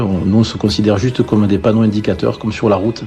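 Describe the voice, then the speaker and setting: With music in the background, a voice in a southwestern French accent shows ordinary pitch variation. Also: man. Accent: southwest French. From southwest France. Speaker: gospel band singer and guitarist. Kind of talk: interview. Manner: hesitant, many fillers.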